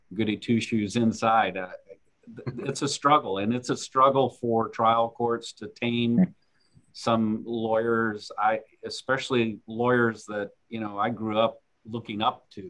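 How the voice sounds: A man talks at a fairly slow pace with fairly even intonation. His pitch is fairly low, and his tone is fairly bright.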